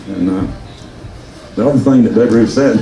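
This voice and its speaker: Over noticeable background noise and audible room echo, a man with a Southern US accent speaks at medium pitch with fairly even intonation. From US South, rural Georgia. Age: 70s. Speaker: local businessman speaking at reunion. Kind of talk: personal speech to audience. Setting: luncheon with audience. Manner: halting, with false starts.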